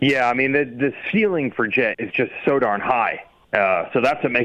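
Lively in intonation, an unremarkable speaking voice goes along at a fairly quick pace. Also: man. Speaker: motocross journalist and announcer. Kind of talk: casual chat.

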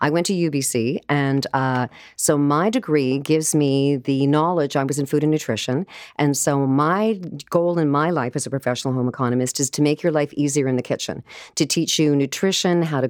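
Speaking at a fairly quick pace with a Canadian accent, a woman uses a very deep, low pitch and ordinary pitch variation. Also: very clean recording, silent background. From Canada, Vancouver. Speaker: home economist and cookbook author. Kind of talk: casual interview chat. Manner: animated.

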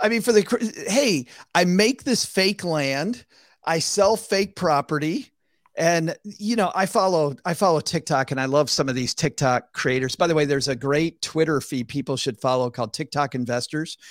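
A man with an American accent speaks at a moderate pace, his pitch fairly high and his intonation lively. The recording is very clean with a silent background, and the sound is dry and close with no echo. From US Midwest. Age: 50s. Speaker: finance podcast host and author. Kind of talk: casual chat.

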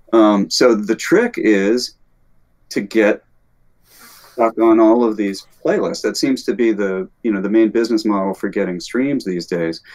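A man with an American accent talks at a fairly slow pace and medium pitch, with ordinary pitch variation. He has an unremarkable speaking voice. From US South, Alabama. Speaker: composer and music teacher. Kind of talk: casual chat.

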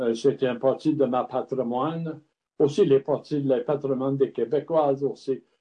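The speaker has an English accent. The pace is moderate and the intonation fairly even. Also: man. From Montreal, Quebec (Lachine), Scottish family. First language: English (speaking French). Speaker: craft distiller and former brewer. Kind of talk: interview. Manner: halting, many hesitations.

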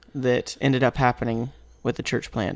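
A man with a Southern US accent at a moderate pace, the sound dry and close with no echo. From Mississippi. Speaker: seminary student. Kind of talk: casual chat.

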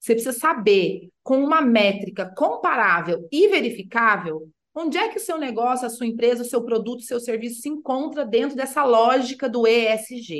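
Lively intonation at a moderate pace from a woman with a high pitch. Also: hardly any pauses. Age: 40s. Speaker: sustainability consultant. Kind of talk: interview.

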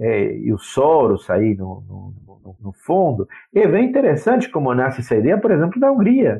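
Lively intonation from a man at a fairly slow pace. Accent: Spanish. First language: Spanish (speaking Portuguese). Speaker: university professor of international relations. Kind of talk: interview. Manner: halting, many repetitions.

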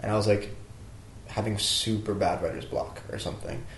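Recorded with audible room echo and noticeable background noise, a man with an American accent talks fairly quickly in a fairly low voice. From US Southwest, New Mexico. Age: 20s. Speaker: aspiring musician. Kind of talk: casual chat. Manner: filler-heavy, halting.

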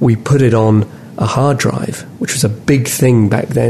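Through noticeable background noise, a man speaks at a fairly slow pace with ordinary pitch variation. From London, England (moved to Auckland at 14-15). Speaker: tech company executive. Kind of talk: interview.

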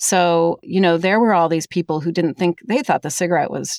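A normal speaking voice with an American accent moves at a fairly quick pace and fairly even intonation. The sound is dry and close, with no echo. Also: woman. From Minnesota. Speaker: historian, author. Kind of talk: interview.

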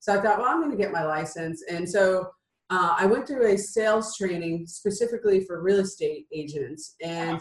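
Somewhat breathy, a woman speaks at a medium pitch and a moderate pace with ordinary pitch variation. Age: 50s. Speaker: entrepreneur and business coach. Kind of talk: interview.

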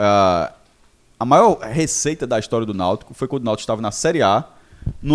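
His delivery races along at a very fast clip. The man's pitch leaps up and down over a very wide range. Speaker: football finance pundit. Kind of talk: casual debate.

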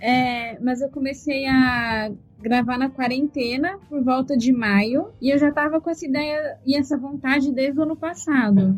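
Her voice high-pitched, a woman speaks at a fairly slow pace with ordinary pitch variation and hardly any pauses. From Brazil, interior of São Paulo state. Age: 20s. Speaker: podcaster and user experience researcher. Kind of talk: interview.

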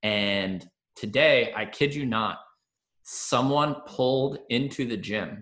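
A man talks at a very slow pace with a bright, sharp tone. His pitch sits in the medium range. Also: ordinary pitch variation. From Long Island, New York. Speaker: physical therapist, podcast host. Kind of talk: casual interview chat.

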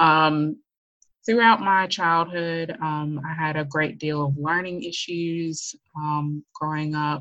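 A woman with an American accent speaks at a very slow pace in a very deep, low pitch with fairly even intonation. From US South, Memphis, Tennessee. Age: 30s. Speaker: stay-at-home wife sharing abuse survival story. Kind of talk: personal testimony in interview.

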